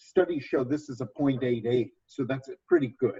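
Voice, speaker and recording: A man's somewhat breathy voice has a dark, mellow tone and a dry, close sound with no echo. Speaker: nurse educator. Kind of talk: training presentation.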